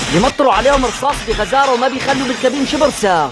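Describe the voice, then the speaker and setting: The speaker talks at a fairly quick pace with a Syrian accent while music plays in the background. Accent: Syrian Hama dialect. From Hama, Syria. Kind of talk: film recap narration. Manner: lively, humorous storytelling.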